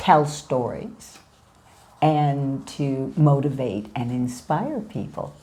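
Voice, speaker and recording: Through audible room echo, a woman speaks at a very slow pace in a very deep, low voice. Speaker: life coach and motivational speaker. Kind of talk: interview. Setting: in her home. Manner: animated, energetic.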